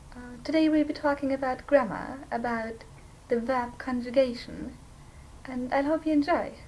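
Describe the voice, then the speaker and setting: Moderate pace and fairly even intonation, with a non-native accent. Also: woman. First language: not English. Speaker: language teacher. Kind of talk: tutorial. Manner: hesitant, with fillers.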